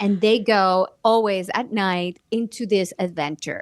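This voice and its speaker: A woman's medium-pitched voice with a Spanish accent, ordinary pitch variation, and a dry, close sound with no echo. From Mexico. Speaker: actress and children's book author. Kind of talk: interview conversation.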